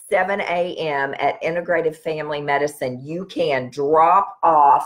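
Fairly slow speech from a woman with a fairly low pitch, over a quiet background. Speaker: wellness practitioner host. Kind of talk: live stream talk to viewers. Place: home room. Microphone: webcam.

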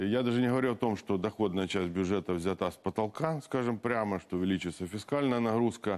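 With very even loudness and hardly any pauses, a man talks using ordinary pitch variation. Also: fairly low pitch for a man, fairly quick pace. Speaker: politician. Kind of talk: studio interview. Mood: critical, firm. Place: studio. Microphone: lapel.

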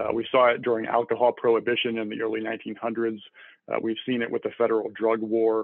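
The speaker has an American accent and a monotone, flat intonation at a fairly quick pace. The sound is dry with no echo over a quiet background. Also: man. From US Midwest (Iowa). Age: 40s. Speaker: IT professional; podcast guest. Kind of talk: interview conversation. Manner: hesitant with frequent fillers. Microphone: video call.

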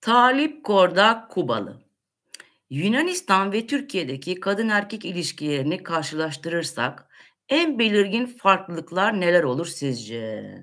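A woman's voice with vocal fry and very wide pitch swings, at a fairly slow pace over a quiet background. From Turkey. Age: 50s. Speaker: livestream host answering viewer questions. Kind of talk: casual Q&A livestream. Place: kitchen. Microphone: webcam.

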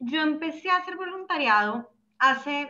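A woman speaks in a raised, projected voice with a bright, sharp tone and lively intonation. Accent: Bogotá. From Bogotá, Colombia. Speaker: startup co-founder. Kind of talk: webinar presentation. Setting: video call. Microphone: video call.

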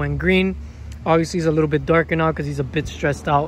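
There is light background noise, and the recording sounds dry, without any echo. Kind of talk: casual vlog chat. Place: street. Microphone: phone near.

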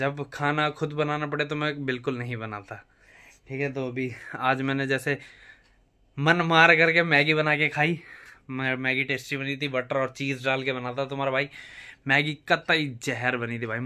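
The background is quiet as a man talks at a fairly slow pace. His intonation stays fairly even. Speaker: vlogger. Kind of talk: casual vlog chat. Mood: jokey, laughing. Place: home room. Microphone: phone near.

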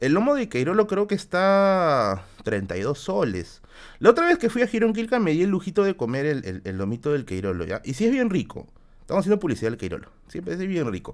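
A man's animated, fairly quick speech against a quiet background. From Peru. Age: 30s. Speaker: YouTuber streamer. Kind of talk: casual live stream Q&A. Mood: relaxed, joking anecdotes. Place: home room.

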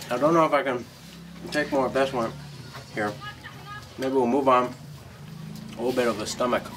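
A man's fairly quick speech, with fairly even intonation, comes through noticeable background noise. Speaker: Peace Corps volunteer. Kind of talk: casual talk to camera. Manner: hesitant. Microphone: camera far.

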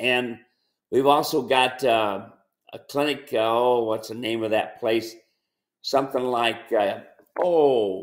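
This man talks very slowly. The rise and fall of his pitch is ordinary. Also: quiet background. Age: 70s. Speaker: mule trainer and ranch owner; mule trainer. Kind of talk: casual chat. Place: home room. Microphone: webcam.

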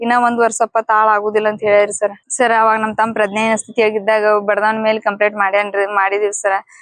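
This woman's voice sits at a fairly high pitch. Her intonation is monotone and flat. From north Karnataka, Bilagi taluk. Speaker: victim's sister. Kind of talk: news interview.

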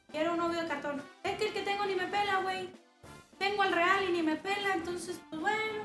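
A woman with an extremely high pitch speaks at a moderate pace with fairly even intonation, audible room echo, and clear music in the background. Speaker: streamer. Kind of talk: casual stream chat and tutorial. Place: home room.

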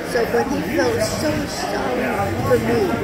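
Loud background noise accompanies a woman's voice. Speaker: grandmother telling memories. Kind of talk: family conversation, recounting memories. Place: cafe. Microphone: phone near.

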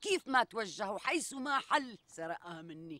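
A woman's bright, sharp voice swings very widely in pitch and shows vocal fry. The sound is dry with no echo. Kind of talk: dramatic dialogue, comic complaint. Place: forest.

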